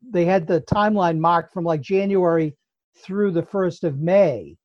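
Speaking with an American accent, a man varies his pitch in an ordinary way. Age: 70s. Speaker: retired school psychologist. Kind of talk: casual chat. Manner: halting, repeats words.

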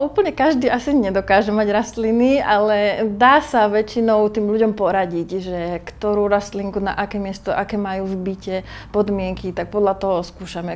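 A woman speaks in an unremarkable speaking voice at a moderate pace, with ordinary pitch variation. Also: medium pitch for a woman. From Slovakia, High Tatras region. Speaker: plant shop owner. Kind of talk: interview.

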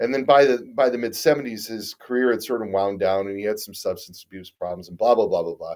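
Speech comes at a fairly quick pace with a Midwestern American accent and hardly any pauses. The loudness swings widely from moment to moment. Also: man. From US Midwest, Detroit. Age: 50s. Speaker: guitar company owner and musician. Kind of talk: casual interview chat.

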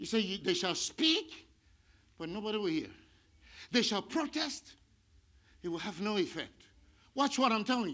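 Projecting a raised voice at a high pitch, a man sounds animated, with a bright, sharp tone and very wide pitch swings. He keeps a moderate pace but leaves long, frequent pauses. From India. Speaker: pastor. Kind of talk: sermon. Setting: church.

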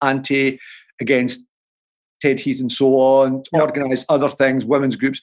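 Against a quiet background, the speaker talks with a Dundee accent. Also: man. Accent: Scottish (Dundee). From Scotland, Dundee. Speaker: author and political commentator. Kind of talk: interview.

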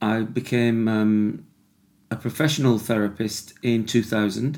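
With a British accent, a man of medium pitch speaks fairly slowly in a monotone, flat way. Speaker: podcast host, addiction recovery worker.

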